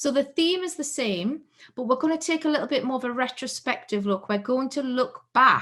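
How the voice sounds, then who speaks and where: This woman's voice sits at a high pitch. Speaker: keynote speaker. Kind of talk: conference keynote talk.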